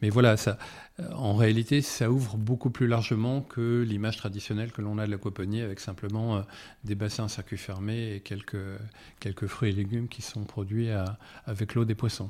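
A man's monotone, flat delivery at a moderate pace, with a dark, mellow tone and fairly low pitch. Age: 50s. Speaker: aquaculture entrepreneur. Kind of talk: interview. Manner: halting.

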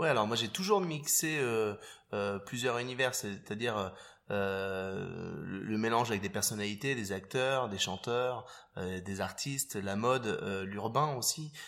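Here a man speaks at a medium pitch and a very slow pace. His pitch varies in an ordinary way. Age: 40s. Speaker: fashion photographer. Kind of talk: interview. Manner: hesitant, repeats words.

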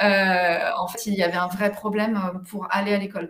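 This woman has an unremarkable speaking voice with a medium pitch. She talks at a moderate pace. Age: 40s. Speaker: parenting coach. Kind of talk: interview.

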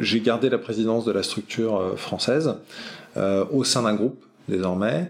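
A man at medium pitch, moderate pace, and ordinary pitch variation. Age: 40s. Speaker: entrepreneur. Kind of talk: interview. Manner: hesitant, many fillers.

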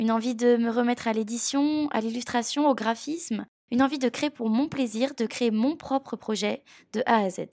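On a very clean recording with a silent background and a dry, close sound with no echo, a woman with an unremarkable speaking voice talks fairly quickly at a fairly high pitch with ordinary pitch variation. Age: 20s. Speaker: podcast host, freelance graphic designer. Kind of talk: scripted narration.

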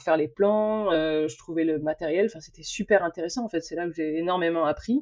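A woman speaks at a moderate pace. Her pitch is fairly low and her intonation fairly even. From France, Bordeaux / Atlantic coast. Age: 30s. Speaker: naval architect. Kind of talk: interview. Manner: talkative; halting.

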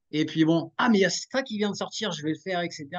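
Over a quiet background, a man talks at a moderate pace in a plain, everyday voice. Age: 40s. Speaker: podcast host, wellness. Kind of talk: casual interview chat.

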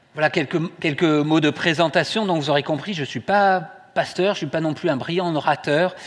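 A man's fairly high voice at a moderate pace. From southwest France, Toulouse. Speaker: lay preacher, care home director. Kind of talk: sermon. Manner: halting.

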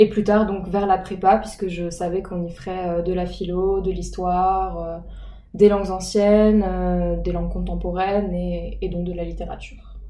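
A woman is speaking. The clip carries noticeable background noise and audible room echo. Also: fairly slow pace. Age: 19. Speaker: student in preparatory literature class. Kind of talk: interview. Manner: hesitant, many fillers.

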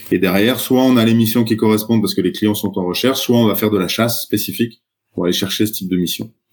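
At a very fast pace, a man talks in a fairly low voice. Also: fairly even intonation. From France, Troyes. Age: 40s. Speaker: startup founder. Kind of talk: podcast interview.

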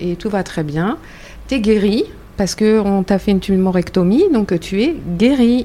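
Speech moves at a very slow pace. Its pitch shows ordinary variation. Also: woman. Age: 50s. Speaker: breast cancer patient, association member. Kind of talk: round-table conversation.

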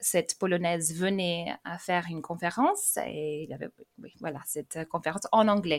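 With an English accent, a woman talks at a moderate pace with ordinary pitch variation and big swings in loudness, the sound dry and close with no echo. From England, raised in France from age 12. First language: English (speaking French). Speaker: language teacher. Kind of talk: casual interview. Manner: hesitant, with repetitions.

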